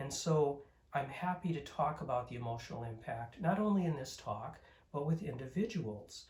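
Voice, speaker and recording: A man speaks at a moderate pace with lively intonation. His fairly high voice is somewhat breathy. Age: 60s. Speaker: Zen teacher. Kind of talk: dharma talk. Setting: recorded at home. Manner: calm, measured.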